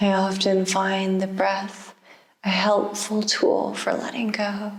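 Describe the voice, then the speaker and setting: A woman speaks at a very slow pace in a medium pitch. Her intonation stays flat and monotone. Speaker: yoga therapist. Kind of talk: guided relaxation. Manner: slow, soft-spoken.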